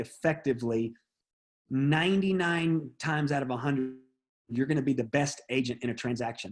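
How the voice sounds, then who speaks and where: This is an unremarkable speaking voice from a man, pitched fairly high, with ordinary variation in pitch. He talks at a moderate pace on a very clean recording with a silent background. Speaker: real estate trainer. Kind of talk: training session.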